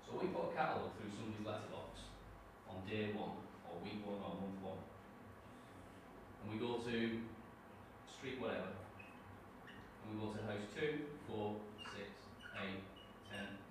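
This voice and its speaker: Amid strong room echo and noticeable background noise, a man speaks at a fairly low pitch with long, frequent pauses. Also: ordinary pitch variation, moderate pace. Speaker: trainee teacher; network marketing distributor. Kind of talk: classroom presentation. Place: classroom. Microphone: camera far.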